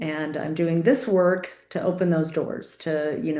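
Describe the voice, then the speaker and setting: A woman speaks at a moderate pace in a fairly low voice with fairly even intonation. The room echo is audible. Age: 50s. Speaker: nurse and interviewer. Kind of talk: interview chat.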